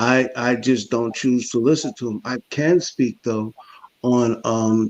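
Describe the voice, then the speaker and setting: With a plain, everyday voice, a man talks at a moderate pace and medium pitch, the sound dry and close with no echo. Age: 50s. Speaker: panelist. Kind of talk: panel discussion.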